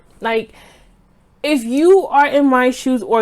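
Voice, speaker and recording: The intonation is lively and the tone animated. The speaker has an American accent. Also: woman. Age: 20s. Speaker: lifestyle vlogger. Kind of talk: casual vlog monologue.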